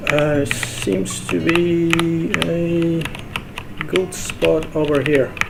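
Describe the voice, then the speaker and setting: The speaker has a non-native accent. Noticeable background noise runs underneath. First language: not English. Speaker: gaming tutorial creator. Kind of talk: gameplay tutorial. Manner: casual, halting with fillers.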